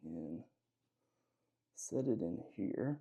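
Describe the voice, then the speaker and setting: A man mumbles very slowly with a Southern US accent, his tone dark and mellow. His pitch swings very widely. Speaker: gunsmithing hobbyist youtuber. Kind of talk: tutorial. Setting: home workshop. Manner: mumbling; casual, hesitant with fillers.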